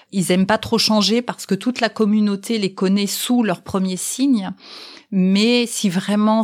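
A woman with an unremarkable speaking voice talks at a fairly slow pace. Her pitch is medium, with ordinary pitch variation. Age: 50s. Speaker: sign language interpreter, mother of the guest. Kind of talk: interview testimony.

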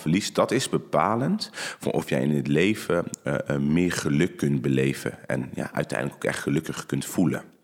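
At a moderate pace, a man talks while background noise is noticeable. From Netherlands, North Brabant. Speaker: judoka. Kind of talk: interview. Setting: studio. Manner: calm.

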